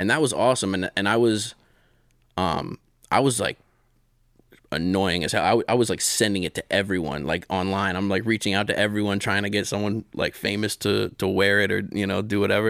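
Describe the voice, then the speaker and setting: A man with an American accent speaks in a normal speaking voice, fairly low in pitch and at a fairly quick pace, with ordinary pitch variation and a dry, close sound with no echo. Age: 30s. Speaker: illustrator and magazine co-founder. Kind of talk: casual interview chat.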